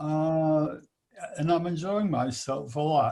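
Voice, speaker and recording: At a very slow pace, a man speaks with fairly high pitch and fairly even intonation. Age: 80s+. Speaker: study group participant. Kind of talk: casual discussion.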